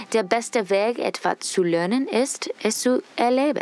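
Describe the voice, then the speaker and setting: A woman with an English accent at a very slow pace, her pitch varying in an ordinary way, over noticeable background noise. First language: English (speaking German). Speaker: student reporter. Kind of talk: scripted narration.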